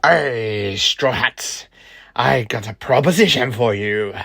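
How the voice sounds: In a put-on character voice, a man speaks at a slow pace with a medium pitch, a fairly bright tone, vocal fry and ordinary pitch variation.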